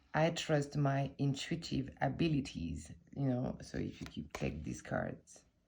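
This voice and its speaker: This is a woman speaking. She has a French accent. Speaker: tarot content creator. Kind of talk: casual chat. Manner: halting.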